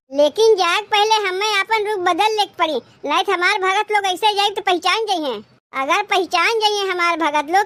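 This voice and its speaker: A cartoonish character voice. It moves at a fairly quick pace. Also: woman, extremely high pitch for a woman. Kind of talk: village comedy cartoon. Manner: soft, unhurried.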